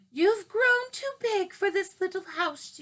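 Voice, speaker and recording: Raising and projecting her voice, a woman uses a squeaky, put-on character voice at an extremely high pitch and a fairly slow pace. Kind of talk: bedtime story. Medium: read story. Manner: warm, motherly.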